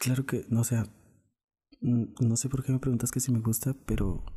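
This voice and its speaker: A man of medium pitch speaks in a monotone, flat intonation with a dark, mellow tone that is somewhat breathy.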